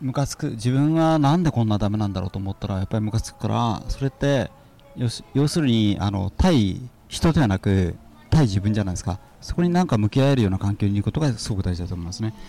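Racing at a very fast pace, a man's voice swings very widely in pitch. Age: 50s. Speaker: seminar student and businessman. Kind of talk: casual chat.

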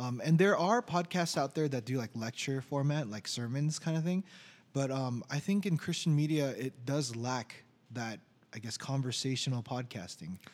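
An ordinary speaking voice from a man with an American accent, medium pitch, ordinary pitch variation and a moderate pace, on a very clean recording with a silent background. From Orange County, California. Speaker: podcast co-host, IT worker. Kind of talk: casual chat.

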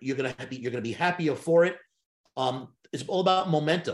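A normal speaking voice from a man, fairly high in pitch, with ordinary pitch variation at a moderate pace. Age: 60s. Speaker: sales trainer and hypnotist. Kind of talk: interview.

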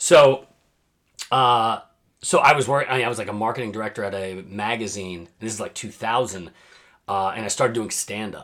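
A man in a normal speaking voice with an American accent, medium pitch, ordinary pitch variation, moderate pace and big swings in loudness. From New Jersey. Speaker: quizmaster and voiceover artist. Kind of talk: casual chat.

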